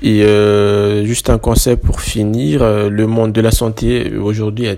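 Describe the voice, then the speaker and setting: A man speaks at a very slow pace in a dark, mellow tone. His pitch sits fairly low. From Madagascar. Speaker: student. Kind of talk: interview.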